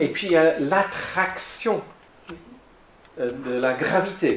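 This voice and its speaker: With an English accent and a fairly high pitch, a man talks over noticeable background noise and audible room echo. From south-west England. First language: English (speaking French). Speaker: lay theology speaker. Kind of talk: lecture. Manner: halting.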